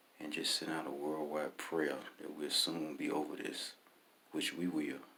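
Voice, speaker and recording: Audible room echo colors this man's voice. He keeps a moderate pace. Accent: Alabama. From US South, Birmingham, Alabama. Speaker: author. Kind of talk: reading aloud.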